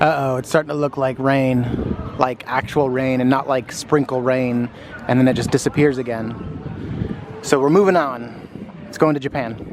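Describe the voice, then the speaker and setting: A man with an American accent talks at medium pitch and a moderate pace, with fairly even intonation. Long, frequent pauses break his speech, and there is noticeable background noise. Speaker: theme park vlogger. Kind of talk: casual vlog narration. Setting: outdoors. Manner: casual, chatty.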